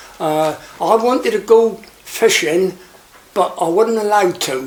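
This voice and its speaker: A man with a Cornish accent speaks at a fairly slow pace in a high pitch with ordinary pitch variation. Noticeable background noise runs underneath. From Cornwall, Looe. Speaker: retired fisherman and shark angling skipper. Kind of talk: oral history interview. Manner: halting.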